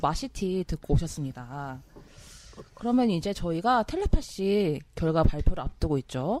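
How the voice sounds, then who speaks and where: At a fairly slow pace, a woman with a medium pitch and a dark, mellow tone swings her pitch very widely. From South Korea, Gangwon Province (Taebaek). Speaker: podcast host and producer. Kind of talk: casual chat; reading aloud listener comments.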